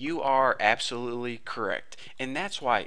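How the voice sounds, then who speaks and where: A man talks at a moderate pace with an animated, bright, sharp tone. His pitch is medium with ordinary variation, and room echo is audible. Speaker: programming tutorial instructor. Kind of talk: tutorial. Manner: casual, animated.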